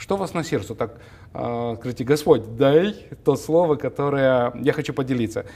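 A man speaks with a dark, mellow tone at a fairly high pitch. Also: ordinary pitch variation, moderate pace. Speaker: TV talk show host. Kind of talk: interview. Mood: warm, smiling, friendly. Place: studio. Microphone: lapel.

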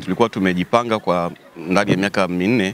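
A normal speaking voice from a man, fairly low in pitch and fairly quick, with a dry sound with no echo and light background noise. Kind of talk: interview answer. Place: street. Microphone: handheld.

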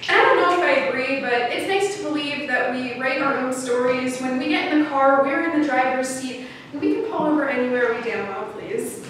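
Spoken with lively intonation and hardly any pauses, the clip has strong room echo and light background noise. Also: woman, high pitch for a woman. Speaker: poet. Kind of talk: spoken-word poem performed to an audience, storytelling about a road trip. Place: stage. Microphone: camera far.

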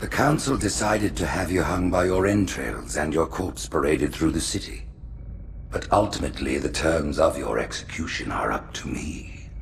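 In a put-on character voice, a man speaks at an extremely low pitch with vocal fry, lively intonation and a moderate pace, while music plays clearly in the background.

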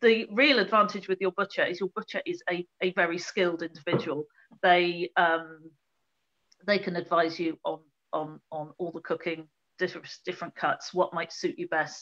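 A woman uses an ordinary speaking voice with a fairly low pitch and fairly even intonation. She talks at a moderate pace against a quiet background. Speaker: guest. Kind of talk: interview answer. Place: home room. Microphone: video call.

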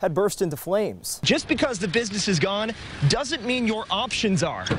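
A man talks with lively intonation and a high pitch, moving at a fairly quick pace against noticeable background noise. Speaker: TV news reporter and anchor. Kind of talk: TV news reporter narration and stand-ups.

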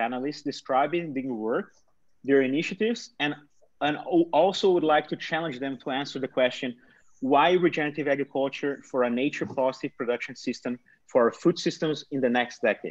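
Over a quiet background, a man with a Portuguese accent talks at a fairly quick pace in a fairly high pitch, with ordinary pitch variation. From Brazil, São Paulo state countryside. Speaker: nonprofit founder and panel moderator. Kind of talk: moderated online panel discussion. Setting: video call.

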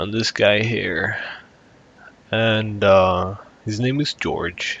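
This man speaks with a fairly low pitch. His intonation stays fairly even. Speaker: gaming YouTuber. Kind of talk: casual gameplay commentary.

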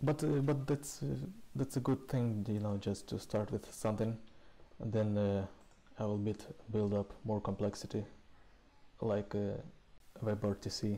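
A man with a dark, mellow tone speaks at a fairly low pitch and a fairly slow pace. His intonation stays fairly even, broken by long, frequent pauses.

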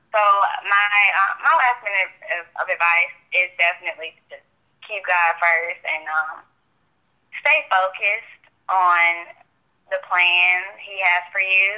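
A woman at medium pitch with ordinary pitch variation speaks at a fairly slow pace, with long, frequent pauses and big swings in loudness. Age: 20s. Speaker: college student. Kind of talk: casual interview.

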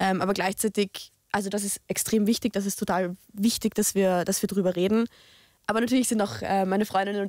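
A woman talks at a very fast pace in a monotone, flat intonation. Her pitch is medium, and the sound is dry with no echo against a quiet background. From Austria, Lower Austria (Tulln); Lower Austria. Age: 20s. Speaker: youth politician, law student; youth politician. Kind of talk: discussion. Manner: hesitant with many fillers. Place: studio. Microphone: studio mic.

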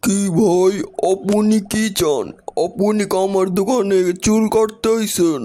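Using a cartoonish character voice, a man speaks high-pitched at a fairly slow pace, with fairly even intonation and very even loudness. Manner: polite, matter-of-fact.

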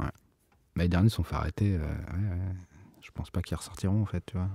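Very deep and low, a man's somewhat breathy voice has a dark, mellow tone and a relaxed, monotone delivery at a fairly quick pace, captured dry and close with no echo on a very clean recording with a silent background. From Bordeaux, France. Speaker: rapper and sound engineering student. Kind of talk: casual interview chat. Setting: recording studio. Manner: relaxed, casual.

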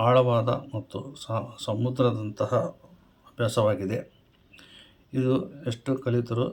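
A man speaks in a flat monotone. His voice is somewhat breathy. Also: medium pitch for a man. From Koppal, north Karnataka, India. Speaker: astrologer and numerologist. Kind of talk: advice monologue to camera. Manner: formal.

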